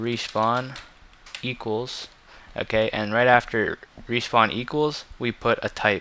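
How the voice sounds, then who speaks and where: A man speaks fairly slowly at medium pitch while noticeable background noise runs underneath. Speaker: gaming tutorial creator. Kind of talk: tutorial. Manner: casual, frequent fillers.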